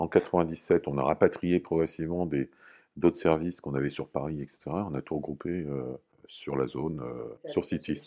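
A man speaks at a fairly slow pace with a very deep, low pitch and fairly even intonation. His tone is dark and mellow, and the recording is very clean with a silent background. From Normandy, France. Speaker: company founder, physicist. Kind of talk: interview testimony. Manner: halting, frequent hesitations.

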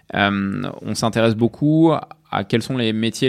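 This is a man speaking at a medium pitch. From Provence, France. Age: 30s. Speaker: tech company CEO. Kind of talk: interview conversation. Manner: hesitant, many fillers.

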